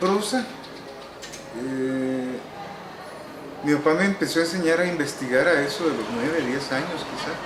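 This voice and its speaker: A man with a fairly high voice talks at a fairly slow pace, with lively intonation and long, frequent pauses. The recording has audible room echo and noticeable background noise. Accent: Salvadoran. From El Salvador, San Salvador. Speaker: novelist. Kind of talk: interview. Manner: hesitant, with many fillers.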